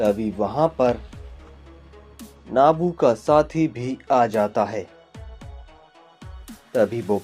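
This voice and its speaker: A man's medium-pitched voice, with ordinary pitch variation, comes through against background music. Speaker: fan manga narrator. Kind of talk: fan-made manga story narration. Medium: read story.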